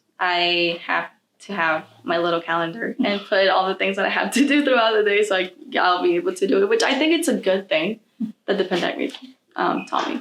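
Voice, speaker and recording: A normal speaking voice from a woman, medium in pitch, with lively intonation at a fairly quick pace. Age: young. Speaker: college student. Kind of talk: interview.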